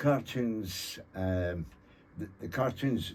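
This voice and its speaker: A man with a Scottish accent speaks in a dark, mellow tone that is somewhat breathy. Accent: Scottish (Fife). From Scotland (Thornton, Fife). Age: 70s. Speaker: author and cartoonist. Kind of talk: radio interview. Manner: halting, many fillers.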